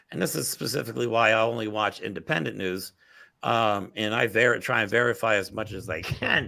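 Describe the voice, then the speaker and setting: With an American accent, a man speaks loud and fairly quick, his fairly low pitch bright and sharp in tone with ordinary pitch variation, on a very clean recording with a silent background. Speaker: political talk show host. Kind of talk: casual political discussion. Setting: office. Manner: animated.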